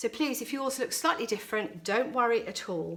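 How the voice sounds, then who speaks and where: Speaking with a British accent, a woman uses a high pitch with very wide swings. Her pace is fairly quick. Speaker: florist running flower workshops. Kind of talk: tutorial.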